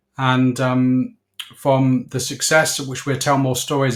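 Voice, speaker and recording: This man has a southern English accent and a medium pitch. He speaks at a fairly slow pace. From southern England (Slough, Berkshire). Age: 60s. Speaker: business owner. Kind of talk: interview.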